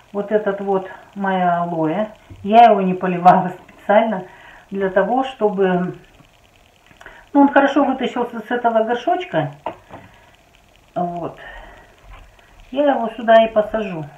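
At a fairly slow pace, a woman speaks with long, frequent pauses, and audible room echo surrounds her. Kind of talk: tutorial. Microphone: phone near.

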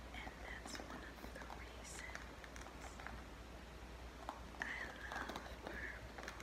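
A woman speaks at a very slow pace. She leaves long, frequent pauses. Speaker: ASMR creator. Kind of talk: ASMR session. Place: home room. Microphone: phone near.

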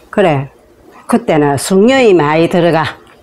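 Very slow and lively in intonation, this woman speaks at a fairly low pitch. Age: 80s+. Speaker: elderly storyteller. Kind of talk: casual talk, life story interview answers. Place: home room. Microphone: lapel.

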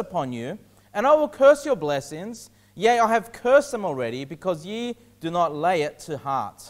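Here a man speaks at a moderate pace with very wide pitch swings. The background is quiet. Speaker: pastor. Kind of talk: sermon. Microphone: lapel.

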